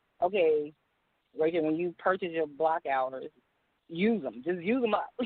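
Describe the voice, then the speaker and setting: A woman speaks at a moderate pace with a fairly low pitch. Her intonation shows ordinary pitch variation. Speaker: independent music artist. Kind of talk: radio interview answer.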